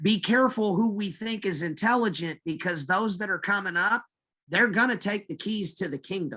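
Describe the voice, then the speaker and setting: In a raised, projected voice, a man with a high pitch speaks at a moderate pace, his pitch varying in an ordinary way. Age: 40s. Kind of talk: casual chat.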